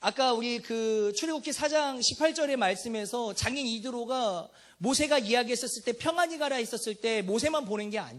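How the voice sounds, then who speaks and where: An animated man speaks at an extremely high pitch with ordinary pitch variation. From Jeolla, South Korea. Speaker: preacher. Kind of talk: sermon. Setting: church.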